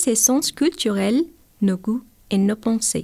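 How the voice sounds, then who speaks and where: A woman's fairly high, somewhat breathy voice with a dark, mellow tone, at a fairly slow pace, on a very clean recording with a silent background. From Guatemala. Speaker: medical doctor, vocational trainee. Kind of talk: reading a prepared radio chronicle. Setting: radio studio.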